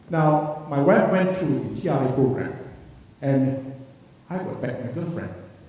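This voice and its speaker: Through noticeable background noise and audible room echo, a man speaks at a moderate pace with ordinary pitch variation. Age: 60s. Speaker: retiree giving a product testimonial. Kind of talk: testimony. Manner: halting.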